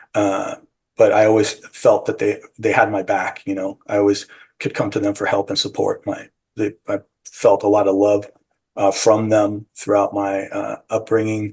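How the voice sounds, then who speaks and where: This speaker has a Californian accent and keeps to a moderate pace. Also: man. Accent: General American, California. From San Francisco, US. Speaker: psychedelic retreat guide and bakery owner. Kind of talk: interview. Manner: halting.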